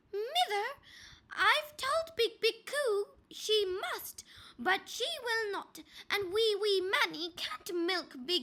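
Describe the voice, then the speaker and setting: Putting on a character voice, a woman speaks at an extremely high pitch and a very slow pace. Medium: read story. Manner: repetitive, plaintive.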